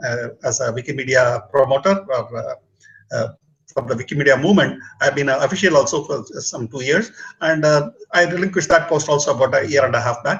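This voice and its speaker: Speaking at a fairly quick pace, this man has a fairly high pitch. He talks with a Tamil accent. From southern India, Bangalore. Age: 60s. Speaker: retired engineer and public speaking mentor. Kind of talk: casual talk show conversation. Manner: halting, many fillers.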